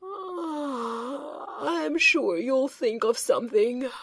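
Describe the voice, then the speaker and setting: A woman uses a put-on character voice with a high pitch. Her pace is very slow. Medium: read story. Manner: mild, unhurried.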